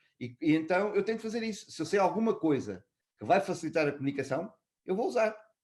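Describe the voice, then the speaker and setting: Very fast and high-pitched, a man talks with lively intonation in a European Portuguese accent. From Portugal. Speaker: customer experience executive. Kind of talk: interview. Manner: hesitant, with filler sounds.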